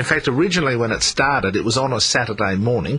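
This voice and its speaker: A man with an Australian accent talks with ordinary pitch variation over noticeable background noise. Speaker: talkback radio presenter. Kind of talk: talkback radio conversation.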